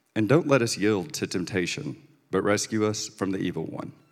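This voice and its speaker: A man with an unremarkable speaking voice, fairly low in pitch, keeps a moderate speed and ordinary pitch variation. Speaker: scripture reader. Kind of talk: scripture reading.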